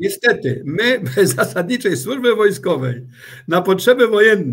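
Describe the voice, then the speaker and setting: A man at a fairly slow pace. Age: 60s. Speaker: retired army general. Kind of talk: interview. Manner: halting.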